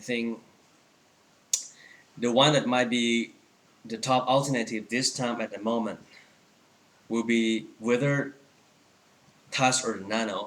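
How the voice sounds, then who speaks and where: Against noticeable background noise, a man speaks at a fairly slow pace. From Thailand. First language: Thai. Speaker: Apple store employee and tech vlogger. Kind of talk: product review tutorial. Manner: halting, many fillers.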